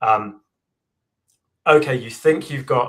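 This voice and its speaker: A man with an English accent talks at a moderate pace. His intonation stays fairly even. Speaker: AI engineer and book author. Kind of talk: live Q&A interview.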